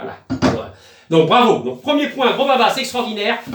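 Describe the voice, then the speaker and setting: Over noticeable background noise and audible room echo, a man speaks loudly at a fairly quick pace. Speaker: online sailing game community YouTuber. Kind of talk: casual live stream. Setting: small room at home. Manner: hesitant, many fillers. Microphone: no microphone.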